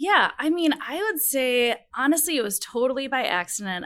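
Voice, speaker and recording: With an American accent, a woman speaks at a moderate pace in a high, bright, sharp voice that swings very widely in pitch. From Minnesota. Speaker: category management professional. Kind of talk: interview. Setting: studio.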